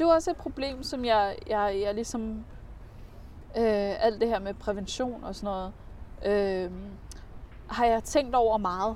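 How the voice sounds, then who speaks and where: A woman talks at a very slow pace with long, frequent pauses. Her pitch is fairly high and varies in an ordinary way. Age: 30s. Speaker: comedian. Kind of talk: casual chat. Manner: halting.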